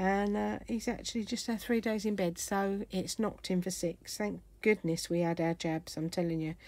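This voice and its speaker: A woman with an English accent, ordinary pitch variation, on a very clean recording with a silent background. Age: 60s. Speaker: craft YouTuber. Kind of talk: craft tutorial; casual chat.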